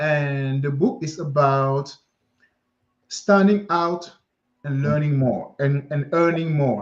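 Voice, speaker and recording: Speaking very slowly with long, frequent pauses, a man with a French accent has a fairly high pitch. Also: ordinary pitch variation. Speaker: career mindset coach, author. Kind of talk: live interview chat.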